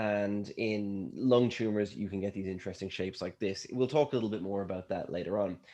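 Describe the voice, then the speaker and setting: A man with an Irish accent, fairly low in pitch, with ordinary pitch variation and a very fast pace, over a quiet background. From Ireland. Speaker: scientist. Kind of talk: lecture.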